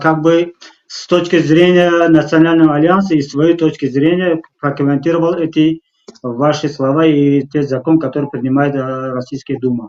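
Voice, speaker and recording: Intonation barely shifts, staying fairly even. The man's pitch is fairly high. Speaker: talk show host. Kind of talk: live talk show interview. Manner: halting, many fillers.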